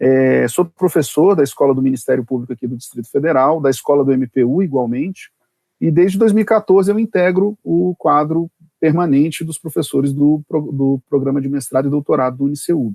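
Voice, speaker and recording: This man has an unremarkable speaking voice. He talks at a fairly quick pace. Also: fairly high pitch for a man, lively intonation. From Brazil, Brasília. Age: 40s. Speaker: prosecutor and law professor. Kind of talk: podcast interview. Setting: remote recording.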